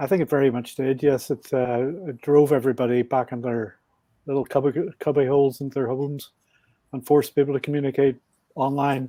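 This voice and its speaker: Fairly high-pitched and quick, a man talks with a strong Belfast accent. His tone is dark and mellow, and his intonation is monotone and flat. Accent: Belfast Northern Irish, thick. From Northern Ireland, Belfast. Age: 60s. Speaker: podcast guest, motorbike traveler. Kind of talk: podcast interview.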